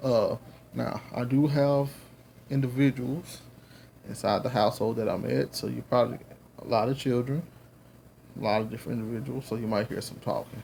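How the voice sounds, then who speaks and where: With a Southern US accent, a man talks at a fairly quick pace in a dark, mellow, somewhat breathy tone. His pitch varies in an ordinary way, with long, frequent pauses. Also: medium pitch for a man. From US South. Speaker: religious teacher, video blogger. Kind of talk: lecture. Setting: at home. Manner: casual, halting.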